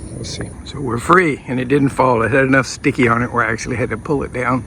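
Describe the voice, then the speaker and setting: A very fast-paced man's voice with fairly even intonation and noticeable background noise. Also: medium pitch for a man. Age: 70s. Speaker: builder / DIY video maker. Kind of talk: work narration on a roof. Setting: outdoors on a roof. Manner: casual, thinking aloud.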